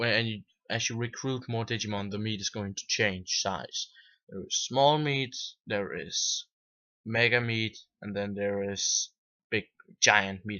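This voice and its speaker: The speaker has a non-native accent. The pace is moderate, with ordinary pitch variation. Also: man. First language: not English. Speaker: video game reviewer. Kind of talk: casual video review. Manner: halting, with false starts.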